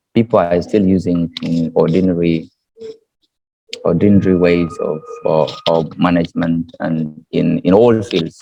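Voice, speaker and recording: Very deep and low, a man's voice moves at a fairly slow pace with fairly even intonation. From South Sudan. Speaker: university student. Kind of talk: interview. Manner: halting, many repetitions.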